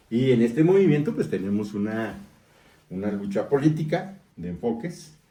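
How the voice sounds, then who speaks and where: A man speaks at a medium pitch and a moderate pace, his tone dark and mellow. His pitch swings very widely, and the room echo is audible. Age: 60s. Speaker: newspaper editor and political activist. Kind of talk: interview.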